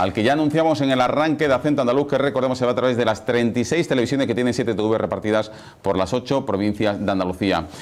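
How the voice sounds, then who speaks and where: A man's medium-pitched voice at a very fast pace, with very even loudness, ordinary pitch variation and noticeable background noise. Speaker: TV journalist and presenter. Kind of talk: TV talk show hosting.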